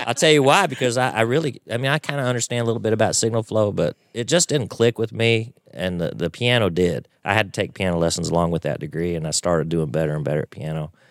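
Very fast, nearly pause-free speech from a man with a Texan accent, a fairly low pitch and very wide pitch swings, on a very clean recording with a silent background and a dry, close sound with no echo. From Texas (Waco). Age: 50s. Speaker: piano player. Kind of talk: casual interview chat. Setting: studio.

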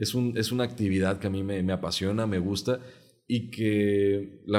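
Speaking at a fairly slow pace, a man in a plain, everyday voice keeps a fairly low pitch and fairly even intonation. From Mexico, Jalisco. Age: 30s. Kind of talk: interview.

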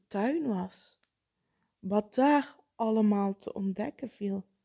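A woman speaks at a very slow pace in a dark, mellow tone that is somewhat breathy. The sound is dry and close, with no echo. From Netherlands, South Limburg. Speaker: podcast host, psychologist. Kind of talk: solo podcast monologue.

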